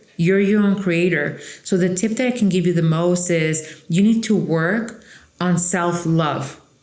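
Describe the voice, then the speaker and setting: A woman with a Mexican accent, fairly low pitch and a fairly slow pace, very even loudness, noticeable background noise and audible room echo. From Mexico / Coachella Valley, California. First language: Spanish. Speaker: trial lawyer. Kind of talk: interview. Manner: emphatic, confident.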